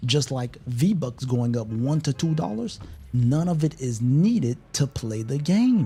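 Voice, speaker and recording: Music plays in the background as a man talks at a fairly slow pace. His pitch is medium and his intonation lively. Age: 30s. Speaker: gaming streamer. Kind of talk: casual live stream chat.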